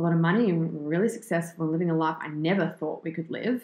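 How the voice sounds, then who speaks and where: A woman with an Australian accent, fairly low in pitch, very fast, with fairly even intonation. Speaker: fitness entrepreneur and personal trainer. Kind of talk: interview, casual chat.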